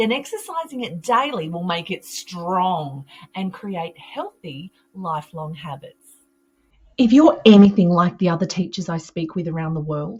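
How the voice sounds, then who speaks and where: In an Australian accent, the speaker uses lively intonation at a moderate pace with a somewhat breathy voice. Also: woman. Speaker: early childhood mental health educator. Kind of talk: professional development webinar presentation.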